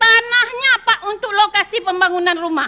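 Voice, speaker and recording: Raising and projecting her voice, a woman speaks at a moderate pace with an extremely high pitch and a bright, sharp tone. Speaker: provincial legislator. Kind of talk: parliamentary speech. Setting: parliament plenary chamber. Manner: impassioned.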